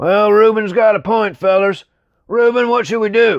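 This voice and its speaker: A man puts on a character voice, pitched high for a man and delivered at a moderate pace. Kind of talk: folksy, colloquial.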